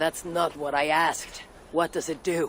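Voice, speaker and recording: A man puts on a raspy character voice at a fairly high pitch, flat and monotone. He keeps a moderate pace over clear background noise. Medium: video game. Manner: formal, curt.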